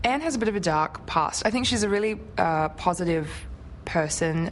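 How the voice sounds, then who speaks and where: At a moderate pace, a woman with an Australian accent speaks with ordinary pitch variation. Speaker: actress. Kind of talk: interview answer.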